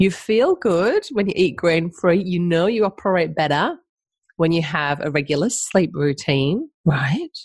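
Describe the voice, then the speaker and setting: This woman's voice is somewhat breathy, with lively intonation. The sound is dry and close with no echo, against a quiet background. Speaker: podcast host and health coach. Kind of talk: casual interview chat.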